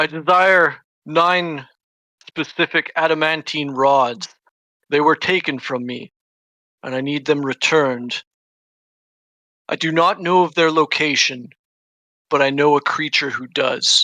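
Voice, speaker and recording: Doing a put-on character voice, a man speaks resonantly at a fairly high pitch and a fairly slow pace, with fairly even intonation and long, frequent pauses. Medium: actual play. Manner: imperious, measured, scheming.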